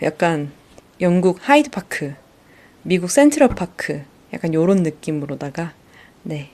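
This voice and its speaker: Lively intonation marks this woman's speech at a fairly low pitch. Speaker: solo podcaster. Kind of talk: casual monologue. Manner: hesitant, many fillers.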